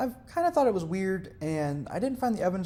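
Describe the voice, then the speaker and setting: Someone with an American accent speaks at a very fast pace. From US South. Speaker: religious video creator. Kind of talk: educational monologue. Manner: casual, with fillers and self-corrections.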